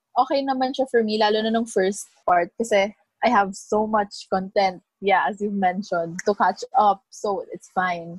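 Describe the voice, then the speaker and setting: A woman of medium pitch speaks at a fairly slow pace with hardly any pauses, sounding somewhat breathy with ordinary pitch variation. The sound is dry and close, with no echo. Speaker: podcast co-host. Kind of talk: casual chat. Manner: animated.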